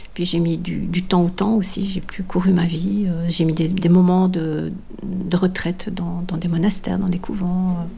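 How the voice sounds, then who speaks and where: A woman talks at a fairly slow pace in a fairly low pitch with monotone, flat intonation. Noticeable background noise and audible room echo are present. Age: 60s. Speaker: long-distance walker and author. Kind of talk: personal testimony. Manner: halting, many hesitations and repetitions.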